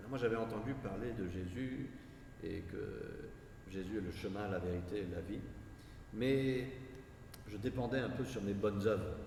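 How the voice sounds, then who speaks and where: Speech at a fairly slow pace comes through audible room echo and noticeable background noise. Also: man. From France (raised there by US missionary parents). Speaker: missionary preacher. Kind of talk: sermon. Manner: hesitant, with frequent fillers and repetitions.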